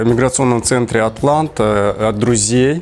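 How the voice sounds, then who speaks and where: A man speaks with ordinary pitch variation. Light background noise sits underneath. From Kyrgyzstan. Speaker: visa client giving a testimonial. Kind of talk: interview testimonial. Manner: halting. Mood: pleased, smiling. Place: office. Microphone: lapel.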